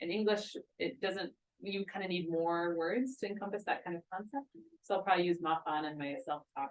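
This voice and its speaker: This is a woman with a plain, everyday voice and an American accent. Her medium pitch shows ordinary variation at a fairly quick pace. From United States. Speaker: linguist. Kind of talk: talk with audience Q&A.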